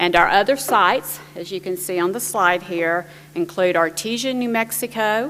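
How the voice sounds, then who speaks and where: A woman talks with a New Jersey accent. Her pitch sits in the medium range. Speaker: panel moderator, government IT official. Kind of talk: conference presentation.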